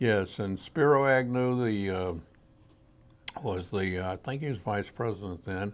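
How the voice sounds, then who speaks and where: With a Mississippi Gulf Coast accent, a man talks at a fairly slow pace in a fairly low voice, leaving long, frequent pauses. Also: ordinary pitch variation. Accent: Southern US (Mississippi Gulf Coast). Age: 80s+. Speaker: outdoor writer and photographer. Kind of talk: interview. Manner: halting.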